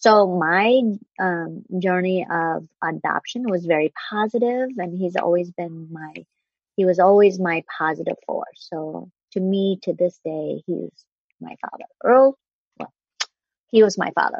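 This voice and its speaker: A woman in a Vietnamese accent, fairly slow, with ordinary pitch variation. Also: medium pitch for a woman, big swings in loudness. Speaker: broadcast journalist. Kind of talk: casual chat.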